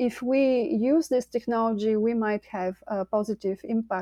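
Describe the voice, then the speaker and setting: A woman with a Bulgarian accent speaks at a fairly high pitch with ordinary pitch variation. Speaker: climate scientist and company co-founder. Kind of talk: interview. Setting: video call.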